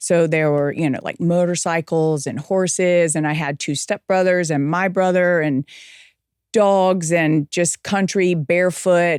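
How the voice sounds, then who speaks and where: The recording is very clean with a silent background and a dry, close sound with no echo. A woman speaks fairly slowly at a fairly low pitch with fairly even intonation. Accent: American. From South Carolina, US South. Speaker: TV news anchor. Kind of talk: interview conversation.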